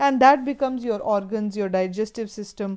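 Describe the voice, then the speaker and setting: Over a quiet background, a woman with an Indian accent speaks at a moderate pace, her dark, mellow tone set at a fairly high pitch with fairly even intonation. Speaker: teacher. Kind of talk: lecture. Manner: halting.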